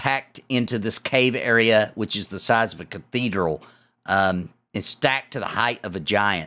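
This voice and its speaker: A man with an American accent, fairly low pitch and a bright, sharp tone, fairly slow with ordinary pitch variation, on a very clean recording with a silent background. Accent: slight Southern US, spills out on some vowels. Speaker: dungeon master. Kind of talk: tabletop game narration. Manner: hesitant, many fillers.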